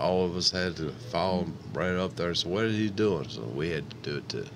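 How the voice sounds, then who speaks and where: Over noticeable background noise and audible room echo, a man with an American accent and a very deep, low voice speaks with ordinary pitch variation. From Upstate New York, Niagara Falls. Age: 60s. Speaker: public housing resident. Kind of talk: interview. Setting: radio studio.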